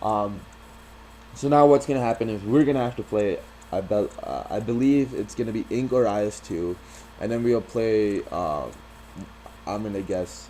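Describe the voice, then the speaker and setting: Against noticeable background noise, a man speaks at a moderate pace and medium pitch, with ordinary pitch variation and long, frequent pauses. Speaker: gaming youtuber, competitive player. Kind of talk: casual video commentary. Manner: frequent fillers, says um a lot; halting, repeats words.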